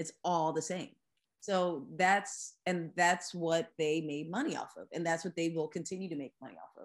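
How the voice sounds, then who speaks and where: A woman with an American accent has a normal speaking voice, pitched fairly low with ordinary pitch variation. Her loudness swings widely. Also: moderate pace. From US Northeast, Philadelphia suburbs (Lower Merion). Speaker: singer-songwriter. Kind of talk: casual interview. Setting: video call.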